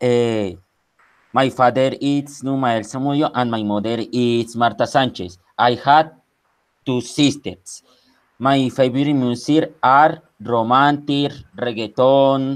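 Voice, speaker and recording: With fairly even intonation and a medium pitch, a man speaks at a very slow pace. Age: 20s. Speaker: English student. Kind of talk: oral exam presentation. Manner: halting.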